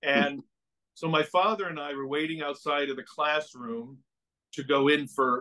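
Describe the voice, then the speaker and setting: A man speaks fairly slowly, with quiet in the background. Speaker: priest guest. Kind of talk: interview answer, personal storytelling. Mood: amused, warm. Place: home room. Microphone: video call.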